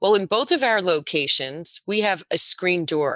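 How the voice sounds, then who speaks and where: Against a quiet background with a dry, close sound and no echo, a woman speaks at a moderate pace, her medium-pitched voice bright and sharp in tone with lively intonation. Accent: American. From New Jersey (Spring Lake). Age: 60s. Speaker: juice bar owner. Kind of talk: casual chat.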